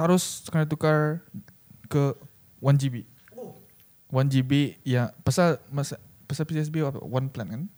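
With long, frequent pauses, a man speaks at a very slow pace, his fairly high pitch held in fairly even intonation. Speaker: podcast host. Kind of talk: casual chat.

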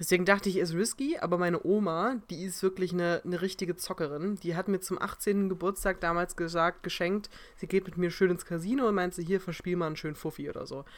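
In a very clean recording with a silent background, a woman at medium pitch speaks very fast with fairly even intonation and hardly any pauses. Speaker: podcast co-host. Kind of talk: casual chat.

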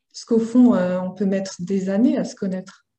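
A woman's somewhat breathy voice with a dark, mellow tone, medium pitch and a moderate pace. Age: 20s. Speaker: laboratory technician and interview guest. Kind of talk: personal testimony interview.

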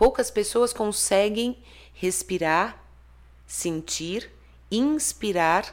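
A woman speaks very slowly with lively intonation in a very clean recording with a silent background. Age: 50s. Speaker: therapist and author. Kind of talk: interview.

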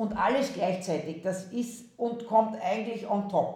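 A woman with an Austrian accent speaks fairly slowly in a somewhat breathy, fairly high voice, with audible room echo. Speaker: university president. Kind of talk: interview. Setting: video call.

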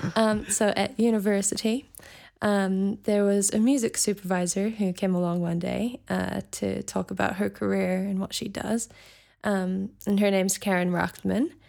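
A woman with a New Zealand accent speaks at a moderate pace in a medium pitch, her tone dark and mellow and her intonation fairly even, on a very clean recording with a silent background. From New Zealand (raised from age five, Scottish family). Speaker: singer-songwriter. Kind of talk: interview.

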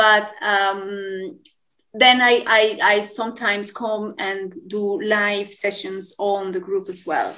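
A woman with a Spanish accent speaks at medium pitch in a bright, sharp tone with fairly even intonation. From Colombia. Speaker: yoga teacher. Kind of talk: interview.

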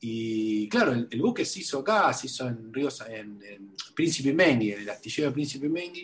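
Speaking in a Rioplatense accent at medium pitch, a man uses lively intonation and hardly any pauses. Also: moderate pace. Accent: Rioplatense Spanish (porteño). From Buenos Aires, Argentina. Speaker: writer and museum researcher. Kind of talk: interview. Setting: remote call. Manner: halting, many fillers and repetitions.

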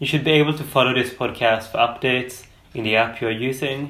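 In a room with audible echo, a bright, sharp-toned voice speaks with flat, monotone intonation. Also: man. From Sweden. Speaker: podcast host. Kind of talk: scripted introduction.

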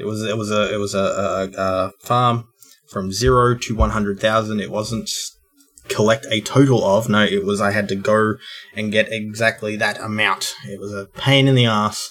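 Music plays behind a man with an Australian accent. His fairly low voice moves at a moderate pace with fairly even intonation. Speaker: podcast co-host. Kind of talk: casual chat.

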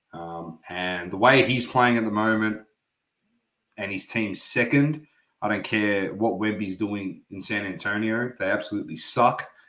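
A man with an Australian accent speaks fairly slowly in a bright, sharp tone at a fairly low pitch. His pitch varies in an ordinary way, while his loudness swings a lot. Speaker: sports podcast co-host. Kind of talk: casual chat.

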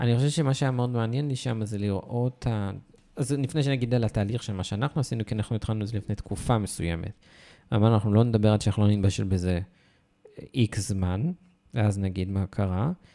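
On a very clean recording with a silent background, a man speaks fairly quickly in a fairly low voice with a dark, mellow tone and ordinary pitch variation. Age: 30s. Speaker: podcast co-host. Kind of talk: casual chat.

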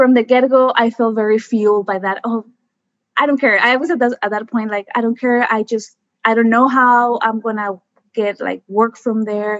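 At a moderate pace, a woman with an American accent speaks at a fairly high pitch. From Mexico, US border area. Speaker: environmental scientist. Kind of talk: casual interview. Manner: animated.

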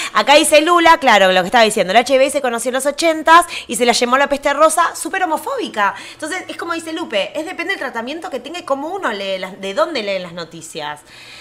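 With a Rioplatense accent, a woman talks very fast at a high pitch with very wide pitch swings, big swings in loudness, hardly any pauses and noticeable background noise. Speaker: podcast co-host. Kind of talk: casual chat.

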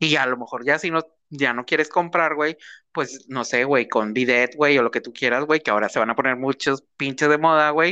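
Against a quiet background, a man speaks at a moderate pace in a fairly high pitch, his tone bright and sharp, with ordinary pitch variation. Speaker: podcast co-host. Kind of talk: casual chat. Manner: animated.

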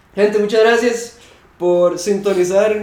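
A man speaks with a Costa Rican accent at a fairly slow pace. His intonation stays fairly even, and room echo is audible. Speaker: podcast host and metal musician. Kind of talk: casual chat. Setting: at the guest's home.

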